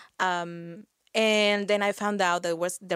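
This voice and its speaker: A woman with a Spanish accent speaks at a fairly slow pace in a medium pitch with ordinary pitch variation, in a very clean, dry, close recording with a silent background and no echo. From Mexico. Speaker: HR professional and community organizer. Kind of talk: interview.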